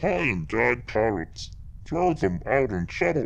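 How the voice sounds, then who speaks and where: Using a put-on character voice, a man speaks croakily at a fairly low pitch and a fairly slow pace. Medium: read story. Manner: broken, clipped speech.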